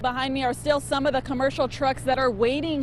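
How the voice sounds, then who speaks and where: A woman talks at a high pitch. Noticeable background noise is present. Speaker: TV news reporter and anchor. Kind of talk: TV news report.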